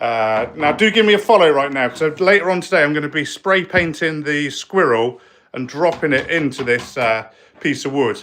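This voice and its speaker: Speaking with a West Country accent, a man uses a bright, sharp tone, a fairly high pitch and lively intonation at a moderate pace. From South West England. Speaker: spray paint artist. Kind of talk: live stream woodworking demo. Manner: casual, hesitant.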